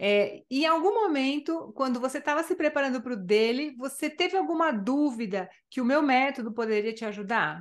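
A woman with a high pitch speaks at a moderate pace, with hardly any pauses. Her intonation is lively, and the background is quiet. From Brazil. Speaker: Spanish language teacher. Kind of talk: interview. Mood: warm, friendly. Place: home room. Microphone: studio mic.

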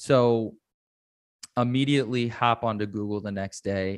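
A man's fairly low, slow voice in an American accent, an unremarkable speaking voice with fairly even intonation, dry and close with no echo on a very clean recording with a silent background. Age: 30s. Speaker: mental health advocate and author. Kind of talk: interview.

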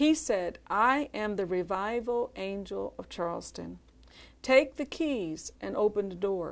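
With an American accent, a woman is talking. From Philadelphia. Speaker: minister's wife. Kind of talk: ministry testimony. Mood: earnest, calm conviction. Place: studio. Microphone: lapel.

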